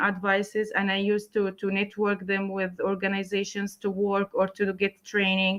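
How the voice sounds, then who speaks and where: A woman's bright, sharp voice with a Palestinian accent, medium in pitch, at a moderate pace. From Palestine, Gaza. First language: Arabic. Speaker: writer, translator and English teacher. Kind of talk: interview. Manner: halting, many fillers and repeats.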